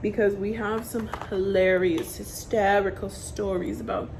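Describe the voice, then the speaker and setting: Audible room echo and noticeable background noise surround a woman at a medium pitch. Her tone is animated, with ordinary pitch variation, at a fairly slow pace. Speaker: beauty vlogger, aspiring makeup artist. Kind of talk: casual vlog chat while doing makeup. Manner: loud; rambling, animated.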